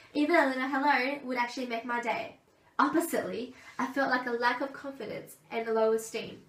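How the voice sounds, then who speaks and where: Amid noticeable background noise and audible room echo, a woman with a high pitch talks at a fairly quick pace. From Australia (Gold Coast). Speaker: aspiring teacher. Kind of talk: presentation speech.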